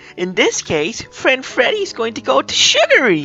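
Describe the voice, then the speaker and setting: Faint music plays behind a female-sounding voice. It's a put-on character voice at a moderate pace. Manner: gleeful, cheerful.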